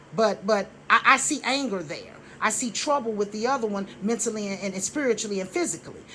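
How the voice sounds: Bright, sharp tone from a woman at medium pitch, fairly quick pace and lively intonation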